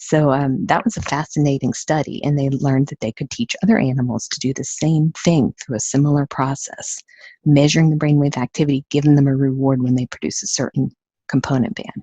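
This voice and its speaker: A woman with a Southern US accent speaks at a fairly quick pace in a very deep, low voice, her tone dark and mellow, her pitch varying in an ordinary way, the sound dry and close with no echo. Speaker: neurofeedback training company owner. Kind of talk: webinar presentation. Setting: webinar. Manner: fast; animated.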